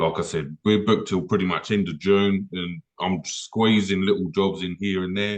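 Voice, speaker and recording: An English accent marks this man's moderate-paced speech. His pitch is very deep and low, with fairly even intonation. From England. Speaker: car detailer, business owner. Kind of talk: casual chat.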